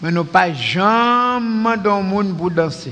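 In a Haitian accent, the speaker talks with ordinary pitch variation. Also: man. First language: Haitian Creole (speaking French). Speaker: pastor; preacher answering questions. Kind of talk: sermon. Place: church. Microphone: headset.

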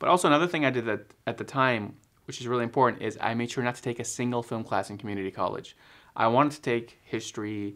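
Over a quiet background, a man with an American accent talks very fast at a medium pitch. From Texas suburbs. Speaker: filmmaker and video editor. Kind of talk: casual vlog talk to camera. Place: home room.

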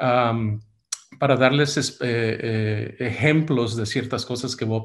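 A man's voice comes through somewhat breathy. The background is quiet. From United States, Mexican family. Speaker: medical device entrepreneur and investor. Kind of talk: webinar talk. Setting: video call. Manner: hesitant, many fillers. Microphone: webcam.

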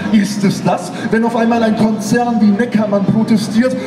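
A man at an extremely high pitch and moderate pace, with noticeable background noise. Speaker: slam poet. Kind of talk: poetry slam performance. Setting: live stage. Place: stage. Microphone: camera far.

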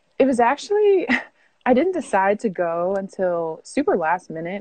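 A woman speaks with a dark, mellow tone. The sound is dry with no echo against a quiet background. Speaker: remote guest. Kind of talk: interview answer. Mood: relaxed, chatty. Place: home room. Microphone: earbuds.

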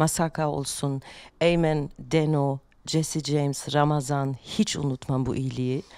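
With a very deep, low pitch and a monotone, flat intonation, a woman speaks at a very slow pace, the sound dry with no echo and the background quiet. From Germany. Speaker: rapper; podcast guest. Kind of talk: casual chat; interview answer. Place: studio. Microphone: studio mic.

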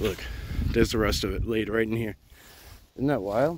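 Speaking at a fairly quick pace, a man is heard in a dry sound with no echo and noticeable background noise. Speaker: outdoor vlogger. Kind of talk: casual vlog chat. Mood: excited, wondering. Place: forest. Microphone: phone near.

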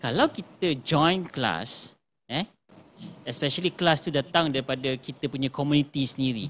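This man has an unremarkable speaking voice with fairly high pitch. He talks at a moderate pace with ordinary pitch variation. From Malaysia. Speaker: livestream host of a video production channel. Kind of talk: casual livestream chat. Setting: live stream on social media. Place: studio.

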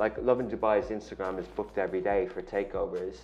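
Faint music plays in the background as a man with an Irish accent speaks at a moderate pace in a fairly low pitch. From Ireland. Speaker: media company founder and CEO; guest. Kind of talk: interview. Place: studio. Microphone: lapel.

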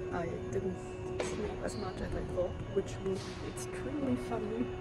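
Clear music sounds behind the speaker. A woman talks at a moderate pace. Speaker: vlogger travelling to a concert. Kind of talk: casual vlog chat. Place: station. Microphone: phone near.

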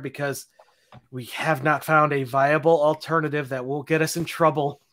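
A man speaks against a quiet background. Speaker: podcast co-host. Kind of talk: podcast host announcements. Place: home room. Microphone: studio mic.

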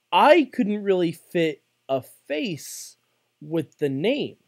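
Here a man talks with an American accent and a high pitch. The background stays quiet. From New York. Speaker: podcast co-host. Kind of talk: casual chat. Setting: studio. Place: home room. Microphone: studio mic.

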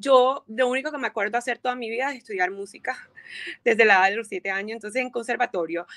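A woman with a fairly high pitch, ordinary pitch variation and a bright, sharp tone speaks against a quiet background. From Colombia, Montería / Barranquilla (Caribbean coast); Colombia. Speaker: violinist and DJ; DJ. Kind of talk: interview. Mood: warm, upbeat, reflective. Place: home room. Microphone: video call.

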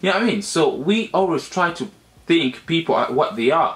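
A man speaks at a fairly quick pace with lively intonation and a fairly bright tone. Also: fairly high pitch for a man.

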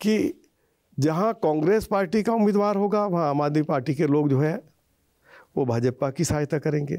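Over a quiet background, a man with a fairly high pitch and a dark, mellow tone talks at a fairly slow pace, his intonation lively and his loudness very even. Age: 70s. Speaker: politician. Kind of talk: interview. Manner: calm. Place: home room. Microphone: lapel.

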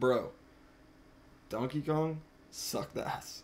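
This is a man speaking. Light background noise sits behind him. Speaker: livestreamer. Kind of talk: casual stream commentary rant. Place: home room. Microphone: studio mic.

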